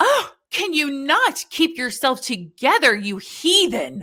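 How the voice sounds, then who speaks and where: A woman puts on a shrill character voice, pitched high, with very wide pitch swings. She delivers it at a fairly slow pace. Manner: screeching.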